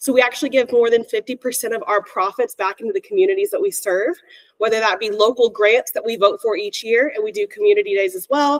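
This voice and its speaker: A woman's high-pitched, very fast speech with very wide pitch swings and a dry, close sound with no echo. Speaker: mortgage lender representative. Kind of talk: sales pitch.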